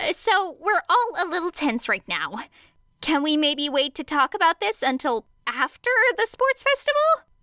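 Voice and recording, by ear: A woman's high-pitched put-on character voice, bright and sharp in tone, with big pitch swings, a moderate pace and a dry, close sound with no echo.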